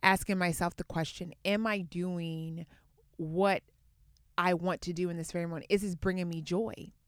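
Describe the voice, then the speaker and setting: Her voice is a plain, everyday voice, fairly low for a woman, with fairly even intonation and a moderate pace. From US, Atlanta (born in Baltimore). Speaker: yoga teacher and entrepreneur. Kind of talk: casual chat.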